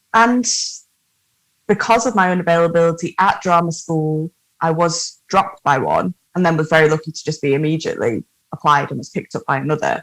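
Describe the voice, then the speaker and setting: In a northern English accent, a woman talks at a fairly quick pace with a fairly low pitch and ordinary pitch variation, the sound dry and close with no echo. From northern England. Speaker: actor-musician. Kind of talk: casual interview chat. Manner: animated.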